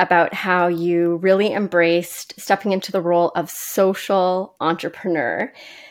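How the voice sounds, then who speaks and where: A plain, everyday voice from a woman at medium pitch. She speaks at a fairly slow pace. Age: 40s. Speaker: podcast host and educator. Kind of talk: interview.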